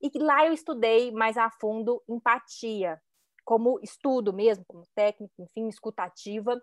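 A woman with a Minas Gerais accent at a fairly slow pace, big swings in loudness, and a dry, close sound with no echo on a very clean recording with a silent background. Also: fairly high pitch for a woman, ordinary pitch variation. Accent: Minas Gerais (mineiro). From Belo Horizonte, Minas Gerais, Brazil. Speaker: image consultant. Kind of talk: casual chat.

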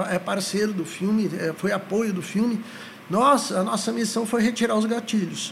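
Noticeable background noise sits behind a voice with fairly even intonation at a moderate pace. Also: man. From São Paulo city, Brazil. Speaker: psychologist. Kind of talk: casual interview.

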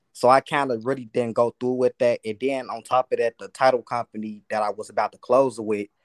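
Moderately paced speech in an American accent, monotone and flat, with a dry, close sound and no echo. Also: man. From US Midwest. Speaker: aspiring real estate wholesaler calling in. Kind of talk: casual call-in Q&A. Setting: video call.

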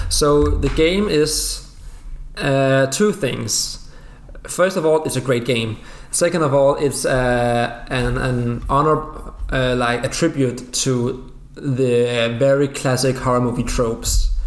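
Noticeable background noise surrounds a man with a non-native accent. He speaks at a medium pitch and a very slow pace. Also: ordinary pitch variation. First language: Danish. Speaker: guest, gaming fan. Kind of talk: casual chat.

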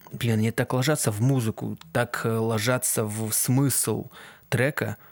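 Fairly slowly, a man speaks at medium pitch with ordinary pitch variation. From Kazakhstan. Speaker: aspiring sound engineer and musician, podcast host. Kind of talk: solo casual podcast monologue. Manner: halting, many filler sounds.

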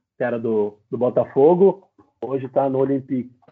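A man with a fairly high voice talks fairly slowly. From interior of São Paulo state, Brazil. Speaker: professional footballer. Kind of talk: casual interview. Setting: live-streamed podcast.

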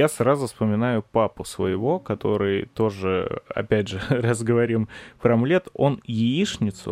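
Against a quiet background, a man speaks at a very slow pace and a medium pitch with ordinary pitch variation, the sound dry and close with no echo. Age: 20s. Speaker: podcast host. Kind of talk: casual chat.

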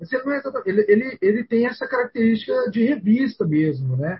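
A man is speaking. His pitch swings very widely. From Goiânia, Brazil. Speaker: podcast co-host. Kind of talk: casual chat.

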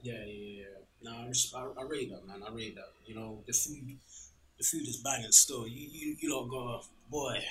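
The speaker talks at a moderate pace in a London accent, with noticeable background noise. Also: man, medium pitch for a man. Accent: London English, Multicultural London style. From Ghana, then UK (council flat). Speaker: food podcast host. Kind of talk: casual chat over a meal. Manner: animated, laughing.

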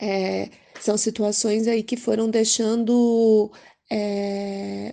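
Against a quiet background, a woman with a fairly high pitch speaks in a monotone, flat way. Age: young. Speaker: public health administrator. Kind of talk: testimony. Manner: halting, many fillers.

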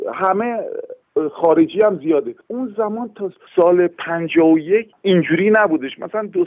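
A man talks with very wide pitch swings. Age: 60s. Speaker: horn player and orchestra conductor. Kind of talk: interview. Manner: halting.

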